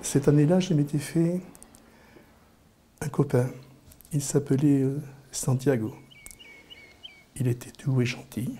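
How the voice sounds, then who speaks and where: A man with a medium-pitched voice speaks at a very slow pace with fairly even intonation. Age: 60s. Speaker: interviewee. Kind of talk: personal storytelling. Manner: halting, frequent repetitions.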